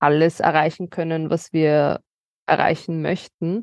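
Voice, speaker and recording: Her voice sits at a fairly low pitch for a woman, and her intonation stays fairly even. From Austria, Vienna. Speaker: legal adviser on anti-racism. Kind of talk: interview conversation.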